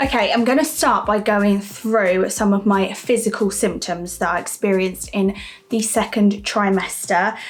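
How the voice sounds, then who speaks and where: Over noticeable background noise, a woman of medium pitch speaks at a moderate pace with very even loudness and ordinary pitch variation. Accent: British. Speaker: vlogger. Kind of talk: vlog monologue.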